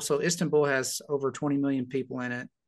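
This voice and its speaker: A man with a Southern US accent, medium pitch and moderate pace, over a quiet background. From US South, Arkansas (Little Rock). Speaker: pastor. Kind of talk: casual chat.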